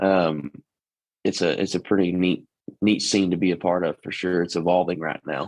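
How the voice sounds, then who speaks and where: A man with a Texas accent, very deep and low in pitch, fairly even in intonation, at a moderate pace, in a dry, close sound with no echo and a quiet background. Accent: Texas twang, natural. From East Texas. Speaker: country singer. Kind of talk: interview. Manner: casual, with many fillers.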